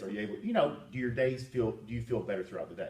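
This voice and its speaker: Noticeable background noise runs through the clip. A man talks very fast at a medium pitch. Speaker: personal trainer. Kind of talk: interview questions to client.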